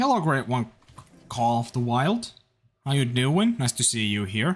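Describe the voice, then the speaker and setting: At a moderate pace, a man with a slight Finnish accent speaks in a somewhat breathy voice at a medium pitch, with ordinary pitch variation. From Finland. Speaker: gaming livestreamer. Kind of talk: live gaming stream chat. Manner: animated.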